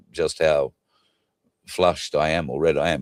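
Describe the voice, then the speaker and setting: A man speaks at a fairly slow pace with an Australian accent. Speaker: talk show host. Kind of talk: casual chat.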